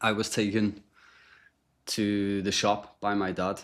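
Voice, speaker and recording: A man's very deep, low voice with a Liverpool accent, on a very clean recording with a silent background. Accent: Liverpool (Scouse). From Liverpool, England. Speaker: podcast guest sharing recovery story. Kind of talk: testimony. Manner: casual, with frequent fillers and repetitions.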